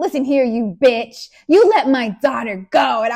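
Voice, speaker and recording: A woman uses a put-on character voice with a high pitch. She delivers it at a fairly slow pace. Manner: fierce, indignant.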